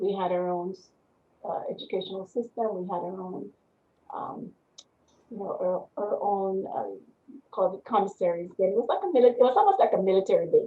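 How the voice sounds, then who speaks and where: With a West Indian accent, a woman talks at a fairly quick pace in fairly even intonation, with long, frequent pauses and big swings in loudness. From Panama. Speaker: business owner and army veteran. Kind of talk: interview. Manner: halting.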